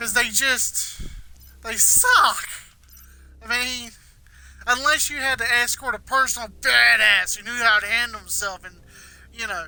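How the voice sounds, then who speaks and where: A raised, projected voice speaks at a fairly slow pace with fairly even intonation, big swings in loudness and long, frequent pauses, over noticeable background noise. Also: man, extremely high pitch for a man. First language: not English. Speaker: gaming streamer. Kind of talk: live gameplay commentary. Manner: mumbles some words; halting, repeats words.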